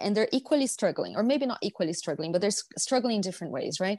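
A woman with a Brazilian accent speaks with lively intonation in a dry, close sound with no echo. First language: Portuguese. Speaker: hospitality education executive. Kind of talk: podcast interview.

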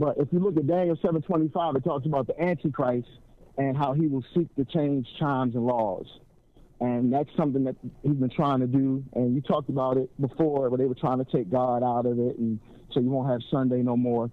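A man talks at a moderate pace in an unremarkable speaking voice. His pitch sits at a medium level and varies in an ordinary way. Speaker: caller. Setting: phone call.

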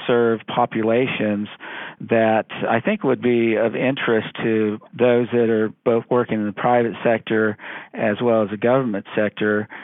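A man with a Californian accent talks at a fairly slow pace in a flat, monotone delivery, his medium pitch and loudness staying very even. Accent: Californian American. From California, Central Valley. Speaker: law professor. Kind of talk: interview.

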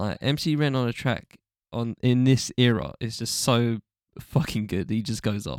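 A man with an ordinary speaking voice talks at a fairly slow pace, his medium pitch showing ordinary variation. The sound is dry and close with no echo, on a very clean recording with a silent background. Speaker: hip-hop podcast host. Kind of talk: casual chat.

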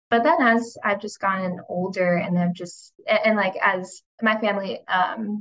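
Here is an unremarkable speaking voice with an American accent. Its pitch variation is ordinary. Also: woman. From United States. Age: 20s. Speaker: recent graduate, nonprofit staffer. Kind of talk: roundtable discussion.

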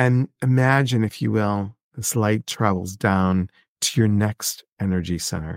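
This man has an unremarkable speaking voice, fairly low-pitched, with ordinary pitch variation and a fairly slow pace, recorded dry and close with no echo. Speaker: podcast host and meditation guide. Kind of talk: guided meditation. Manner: slow, calm, soothing, with long pauses; gently instructive, repeating key words.

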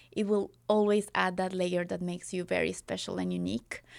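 With a Spanish accent, a woman talks at a moderate pace on a very clean recording with a silent background. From Colombia. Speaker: wedding filmmaker. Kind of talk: casual interview. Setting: studio.

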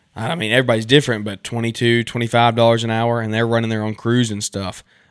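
Speaking at a fairly quick pace, a man with a medium pitch and a Southern US accent sounds dry and close, with no echo. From US South. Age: 20s. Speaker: podcast host and lawn care business owner. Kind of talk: casual interview. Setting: remote call.

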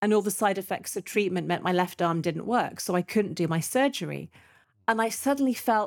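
With a British accent, a woman talks at a fairly quick pace and with lively intonation. The recording is very clean, the background silent. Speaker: retired breast surgeon, cancer survivor. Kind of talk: casual interview.

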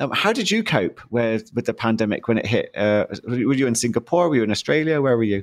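Medium in pitch, a man speaks in a British accent at a fairly quick pace. His loudness stays very even. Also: ordinary pitch variation. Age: 50s. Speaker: podcast host, mindset coach. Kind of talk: interview.

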